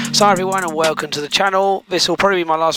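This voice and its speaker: With an English accent, a man speaks while background noise is clearly noticeable. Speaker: microlight pilot and video creator. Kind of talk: casual vlog narration. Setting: outdoors at an airfield; radio calls over aircraft radio.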